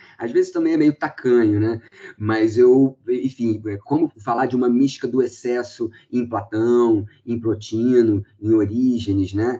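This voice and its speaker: Speaking at a fairly slow pace, a man has a medium pitch and a dark, mellow tone. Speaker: philosophy professor. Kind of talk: academic seminar discussion. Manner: animated.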